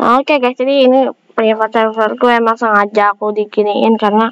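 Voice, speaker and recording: The sound of a woman talking is dry and close, with no echo. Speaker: gaming youtuber. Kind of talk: gameplay commentary. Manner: casual, chatty.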